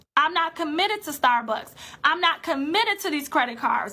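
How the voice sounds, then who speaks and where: Raised and projected, a woman's extremely high voice has a bright, sharp tone and lively intonation. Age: 20s. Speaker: personal finance coach. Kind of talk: live-stream talk to an online group. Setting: solo live video stream.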